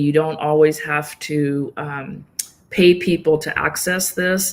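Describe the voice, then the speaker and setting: A woman's fairly low-pitched voice with monotone, flat intonation. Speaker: yoga nidra practitioner. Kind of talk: interview answer.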